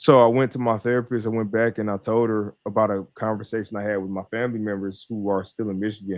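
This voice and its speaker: With an American accent, a man talks at a very fast pace with hardly any pauses, his fairly low pitch held in a monotone, flat intonation. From US Midwest, Detroit. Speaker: mental health coach. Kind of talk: interview.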